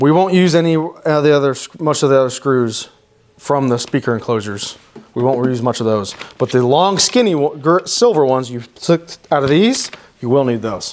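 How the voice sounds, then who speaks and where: In an unremarkable speaking voice, this man talks fairly high in pitch, varying it in an ordinary way. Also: moderate pace. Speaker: installation technician demonstrating car audio install. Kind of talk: tutorial. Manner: casual, with many self-corrections.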